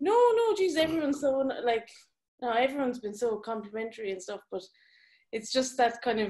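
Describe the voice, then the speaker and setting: In an Irish accent, a woman speaks at a high pitch with lively intonation. She leaves long, frequent pauses. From Ireland. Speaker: graphic designer. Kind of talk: live Q&A discussion. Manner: halting.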